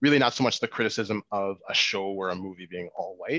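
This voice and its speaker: A man with a Canadian accent, fairly low in pitch with a bright, sharp tone and ordinary pitch variation, at a fairly quick pace, dry and close with no echo over a quiet background. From Canada, Winnipeg. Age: 20s. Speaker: filmmaker. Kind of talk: interview.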